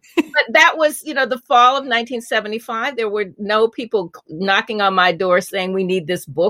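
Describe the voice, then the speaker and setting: In a dry, close sound with no echo, a woman with an American accent talks at a moderate pace. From US Midwest, Indianapolis. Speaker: author and former TV journalist. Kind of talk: interview, storytelling.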